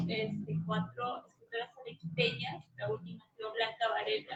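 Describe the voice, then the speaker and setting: A woman speaks with vocal fry at a moderate pace. Her intonation is lively. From Peru, Arequipa. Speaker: poet and cultural manager. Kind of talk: self-introduction at literary event. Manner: hesitant fillers.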